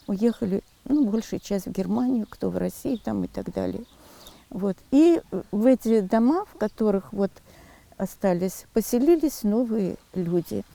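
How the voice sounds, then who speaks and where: Her medium-pitched voice has a dark, mellow tone and lively intonation, and this woman speaks at a fairly slow pace with long, frequent pauses and big swings in loudness, recorded dry and close with no echo. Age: 70s. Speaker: retired village schoolteacher. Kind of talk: interview testimony.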